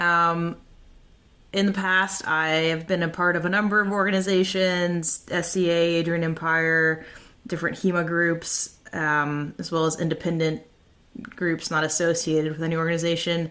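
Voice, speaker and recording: A woman with an American accent, fairly low in pitch, bright and sharp in tone, monotone and flat, at a moderate pace. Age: 30s. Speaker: podcast host and fencing instructor. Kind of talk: podcast monologue.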